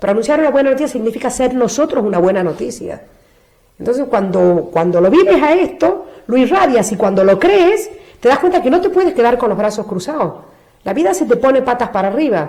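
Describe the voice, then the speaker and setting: A woman with a high pitch and a dark, mellow tone speaks at a fairly quick pace, her pitch swinging very widely. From Argentina. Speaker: nun. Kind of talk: interview answer.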